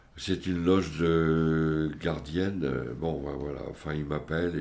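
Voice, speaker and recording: Amid audible room echo, a man with a very deep, low pitch speaks at a very slow pace with fairly even intonation. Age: 70s. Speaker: family member of psychiatric patients. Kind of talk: testimony. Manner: halting.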